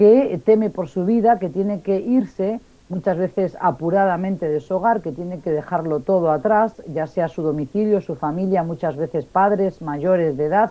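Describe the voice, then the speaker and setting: Speaking at a moderate pace, a woman uses lively intonation in a medium pitch with a dark, mellow tone. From Basque Country, northern Spain. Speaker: refugee and international affairs expert. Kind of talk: radio interview. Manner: clear, precise diction.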